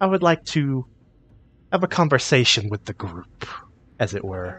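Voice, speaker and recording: Over a quiet background, a man uses a put-on character voice at medium pitch with a menacing tone. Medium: actual play. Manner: polite but menacing.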